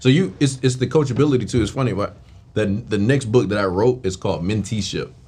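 The voice moves at a very fast pace with a dark, mellow tone. It is somewhat breathy, with ordinary pitch variation. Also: man, medium pitch for a man. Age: 30s. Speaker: podcast host. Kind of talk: casual interview.

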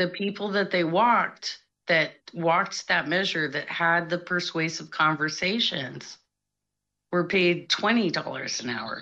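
Here is a woman with a plain, everyday voice. Her fairly low pitch shows ordinary variation. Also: fairly slow pace. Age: 40s. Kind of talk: call-in conversation. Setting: remote call via online chat room.

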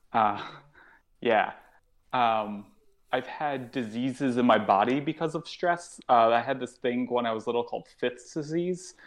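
Against a quiet background, a man with a plain, everyday voice speaks at a medium pitch and a fairly slow pace with an American accent and ordinary pitch variation. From Connecticut, US. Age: 30s. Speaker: stand-up comedian. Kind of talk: casual chat.

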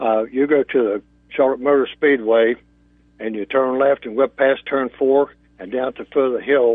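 A man with an unremarkable speaking voice and big swings in loudness. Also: medium pitch for a man, fairly even intonation, moderate pace. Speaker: race event organizer. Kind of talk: casual chat. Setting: phone call.

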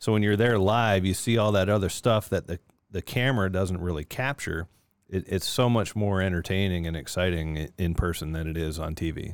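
A man's very deep, low voice at a fairly quick pace, with ordinary pitch variation, on a very clean recording against a silent background. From Niagara Falls, Ontario, Canada. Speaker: former pro hockey player. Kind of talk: casual chat.

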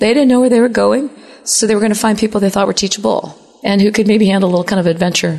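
A woman's very fast speech at medium pitch, with ordinary pitch variation and very even loudness, amid noticeable background noise. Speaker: software engineer. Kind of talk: casual interview. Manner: talkative, animated.

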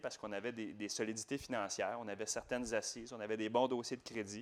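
Very fast and with fairly even intonation, a man speaks at a medium pitch in a very clean recording with a silent background. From Quebec, Laval. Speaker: real estate investor. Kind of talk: interview.

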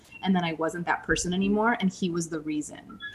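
A woman with an American accent speaks at a very fast pace, with medium pitch and ordinary pitch variation. Noticeable background noise is present. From US Midwest, St. Louis. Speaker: author and former actor. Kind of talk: interview.

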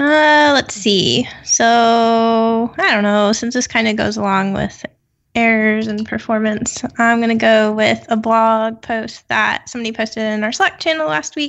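Delivered at a fairly slow pace, an unremarkable speaking voice shows ordinary pitch variation. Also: woman, fairly high pitch for a woman. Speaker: software developer panelist. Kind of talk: casual technical discussion.

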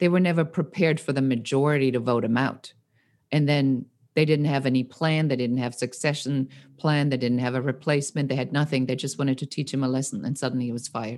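A woman with a German accent speaks at a very fast pace in a very deep, low pitch. Her intonation is fairly even, on a very clean recording with a silent background. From Germany, Nuremberg. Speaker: entrepreneur. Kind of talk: casual interview.

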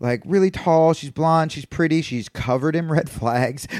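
Very clean recording, silent background: a man speaks at a moderate pace. He has a normal speaking voice with ordinary pitch variation. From US Northeast, Brooklyn. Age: 30s. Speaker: comedian. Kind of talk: casual chat.

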